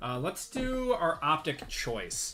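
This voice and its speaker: With music playing in the background, the speaker talks in a strong Midwestern accent. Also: man. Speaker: sports card breaker, livestream host. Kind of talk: live stream card break commentary with chat. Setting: live stream.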